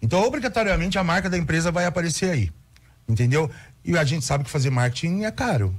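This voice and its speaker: A man talks very fast at a high pitch. His voice swings very widely in pitch. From São Paulo, Brazil. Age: 50s. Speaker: cultural producer. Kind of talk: radio interview. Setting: radio studio. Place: studio. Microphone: studio mic.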